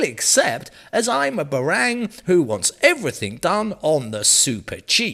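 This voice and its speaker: This man speaks with an English accent. His pitch swings very widely. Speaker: news presenter. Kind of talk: news reading. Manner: tongue-in-cheek.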